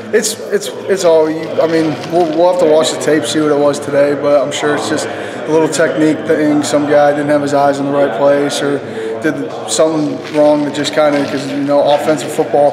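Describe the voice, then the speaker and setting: With noticeable background noise around him, this man speaks at a fairly quick pace. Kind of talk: interview answer. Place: hall.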